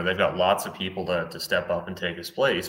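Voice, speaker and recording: Very deep, low male voice with a Canadian accent, a fairly quick pace and noticeable background noise. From Canada. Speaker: citizen reporter. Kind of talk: casual chat. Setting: video call.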